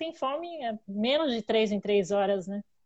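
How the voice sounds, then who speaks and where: A woman's ordinary speaking voice, fairly high in pitch, at a moderate pace over a quiet background. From Greater São Paulo, Brazil. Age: 30s. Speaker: podcast guest, carnivore diet follower. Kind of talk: casual chat.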